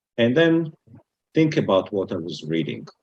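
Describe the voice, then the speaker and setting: With an Israeli accent, the speaker's pitch swings very widely. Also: man. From Israel, Jerusalem. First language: Hebrew. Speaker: retired business executive, Bible student. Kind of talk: talk to interfaith group.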